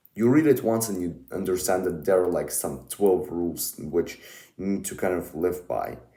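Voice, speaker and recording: With a Russian accent, a man talks at a moderate pace in a dark, mellow tone. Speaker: book YouTuber. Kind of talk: casual monologue review. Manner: halting, many fillers.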